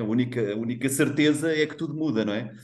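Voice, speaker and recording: Audible room echo carries a man's voice as he talks at a fairly quick pace. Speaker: HR executive, webinar panelist. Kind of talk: panel discussion. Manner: animated.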